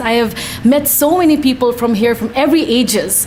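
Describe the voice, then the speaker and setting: A woman talks fairly quickly, with typical pitch movement, while noticeable noise sits in the background. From Nepal. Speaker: commission applicant, business owner. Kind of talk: interview answer.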